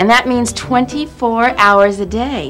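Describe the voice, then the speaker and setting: Faint music in the background behind a woman's high voice at a moderate pace. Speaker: teacher in a TV show. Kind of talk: scripted acting, teacher addressing class. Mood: warm, encouraging. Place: classroom.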